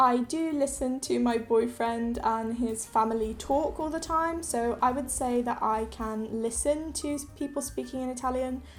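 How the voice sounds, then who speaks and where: Fairly even intonation with music in the background. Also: woman. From international schools in Thailand and India, English parents. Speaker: knitting youtuber. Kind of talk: casual Q&A video.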